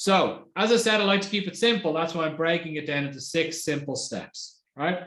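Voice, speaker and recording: A man talks at a high pitch with ordinary pitch variation, and audible room echo surrounds him. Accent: Irish. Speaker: marketing executive. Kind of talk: webinar presentation. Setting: online webinar. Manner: fast.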